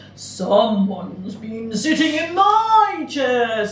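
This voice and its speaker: A growling, fairly high put-on character voice comes through at a very slow pace with slight echo and light background noise. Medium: read story.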